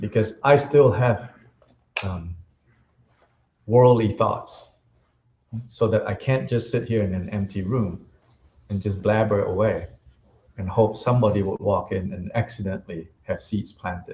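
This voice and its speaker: Pausing long and often, a man speaks at a fairly slow pace in a fairly low, dark, mellow voice with ordinary pitch variation. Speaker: Buddhist teacher. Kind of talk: dharma teaching. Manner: loud.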